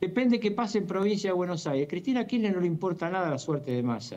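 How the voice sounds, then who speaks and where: A man speaks at a fairly quick pace in a high-pitched voice. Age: 70s. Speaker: political commentator. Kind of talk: interview.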